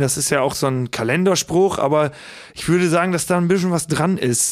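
Fairly even in intonation and moderate in pace, this is a normal speaking voice. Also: man. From Lower Saxony, south of Osnabrück. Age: 30s. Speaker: comedian and musician. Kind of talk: casual chat.

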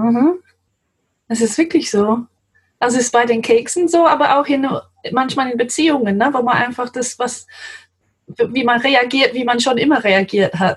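Her pitch is high, and this woman's pitch variation is ordinary. She speaks at a moderate pace with long, frequent pauses. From England, London. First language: English (speaking German). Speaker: translator. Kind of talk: interview.

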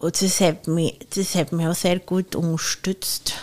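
A woman talks in an ordinary speaking voice at a fairly low pitch. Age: 30s. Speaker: chef. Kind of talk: casual chat.

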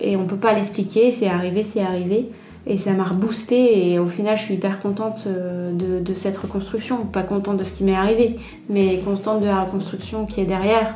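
A woman speaks at medium pitch and a moderate pace. Her intonation is monotone and flat, and the room echo is audible. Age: 30s. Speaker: entrepreneur, former food industry marketer. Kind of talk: testimony. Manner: halting.

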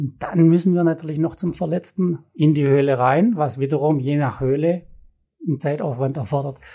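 A man speaks at a moderate pace in a fairly high, somewhat breathy voice with a dark, mellow tone. The recording is very clean, with a silent background. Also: ordinary pitch variation. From Swabia, Baden-Württemberg. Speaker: cave rescuer and geoscientist. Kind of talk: interview.

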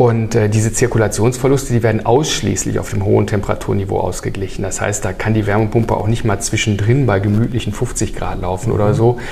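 A man speaks at a very fast pace with hardly any pauses and fairly even intonation. Noticeable background noise and audible room echo fill the recording. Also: fairly low pitch for a man. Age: 50s. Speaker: heat pump company executive. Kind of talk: casual interview.

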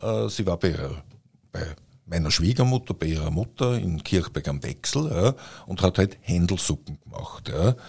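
Very deep and low in pitch, a man's voice shows vocal fry and very wide pitch swings, moving at a moderate pace with long, frequent pauses. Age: 60s. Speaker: podcast host, publisher. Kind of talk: casual chat. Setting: studio.

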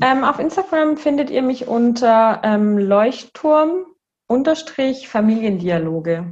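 Speaking very slowly, a woman uses a high pitch that swings very widely. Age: 30s. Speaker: kindergarten director and systemic counselor. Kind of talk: interview conversation.

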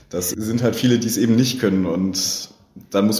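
Audible room echo surrounds a man speaking at a moderate pace. His pitch is fairly low, with ordinary variation. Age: 20s. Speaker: IT apprentice. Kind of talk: interview. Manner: hesitant, many fillers.

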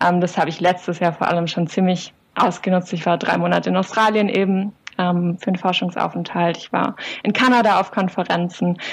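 Somewhat breathy, a woman talks at a fairly quick pace with a medium pitch and fairly even intonation. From southern Germany, Swabian Jura. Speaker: psychologist and doctoral researcher. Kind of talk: interview. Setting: video call.

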